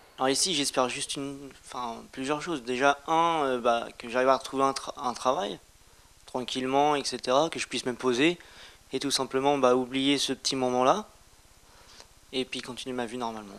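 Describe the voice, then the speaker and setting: A man speaks at a moderate pace and a medium pitch, with fairly even intonation and long, frequent pauses, on a very clean recording with a silent background. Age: 20s. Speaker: young resident of a homeless shelter. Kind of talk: interview testimony. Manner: casual, hesitant.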